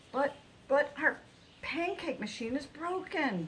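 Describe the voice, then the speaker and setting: Putting on a character voice, a woman speaks at a fairly slow pace with high pitch while clear background noise sits behind her. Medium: read story.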